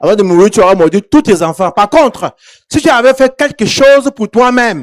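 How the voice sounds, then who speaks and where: The sound is dry and close, with no echo. A man speaks at a moderate pace, his pitch swinging very widely. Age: 70s. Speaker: pastor. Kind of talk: sermon.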